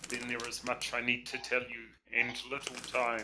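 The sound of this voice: The clip features an unforced reading voice.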